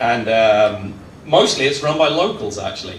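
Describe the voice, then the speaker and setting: A man talks at a moderate pace in a medium pitch with ordinary pitch variation. Noticeable background noise and audible room echo are present. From southern England. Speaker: tour operator, community speaker. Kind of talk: presentation talk. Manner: casual, conversational.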